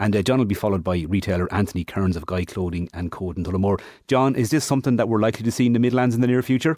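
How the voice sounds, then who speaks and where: In an Irish accent, a man with a fairly low pitch and a dark, mellow tone talks at a very fast pace on a very clean recording with a silent background. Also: ordinary pitch variation. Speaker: radio presenter. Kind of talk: radio show hosting, interviewing. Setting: studio.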